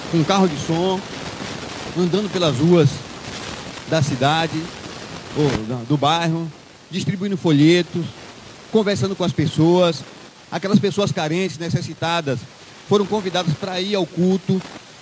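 A man with a high voice and ordinary pitch variation talks at a fairly slow pace with long, frequent pauses over noticeable background noise. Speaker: preacher. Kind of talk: sermon. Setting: church. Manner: conversational and didactic; earnest, exhortative.

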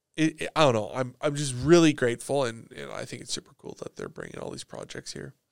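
The speaker, with a Canadian accent, goes at a very fast pace with hardly any pauses, the sound dry and close with no echo. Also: man, big swings in loudness. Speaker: podcast host. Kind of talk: casual chat.

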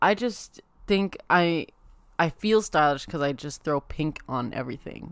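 This woman has an ordinary speaking voice with fairly low pitch. Her delivery is fairly slow, with lively intonation. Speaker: podcast host. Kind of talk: casual chat.

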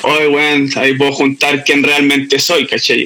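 Amid noticeable background noise, a man with a Chilean accent speaks at a fairly high pitch. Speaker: beatmaker and former MC. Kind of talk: casual interview chat.

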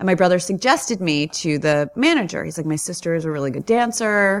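With lively intonation and a moderate pace, a woman speaks in an unremarkable speaking voice, fairly low in pitch, on a very clean recording with a silent background. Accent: American. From New York. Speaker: comedic actress and stand-up comedian. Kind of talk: casual interview storytelling.

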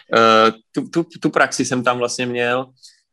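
Over a silent background in a very clean recording, a man talks at medium pitch with a bright, sharp tone. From Czechia, Prostějov region (Moravia). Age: 20s. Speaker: chimney sweep. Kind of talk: interview.

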